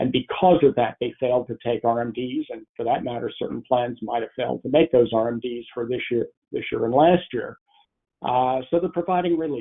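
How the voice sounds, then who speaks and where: The delivery has ordinary pitch variation and a moderate pace. It is an ordinary speaking voice. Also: man. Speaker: retirement plan expert presenter. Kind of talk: webinar presentation. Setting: webinar broadcast.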